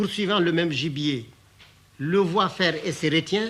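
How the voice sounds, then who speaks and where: The man's voice is high in pitch, with a bright, sharp tone. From Mali. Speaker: writer and storyteller. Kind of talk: interview answer.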